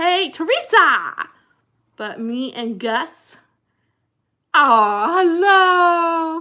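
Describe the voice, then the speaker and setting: Speaking very slowly with long, frequent pauses, a woman with an American accent uses a raised, projected voice at extremely high pitch, her bright, sharp tone moving in very wide pitch swings. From New Jersey. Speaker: livestream host, former pastor. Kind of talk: casual live chat reading comments. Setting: livestream. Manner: animated.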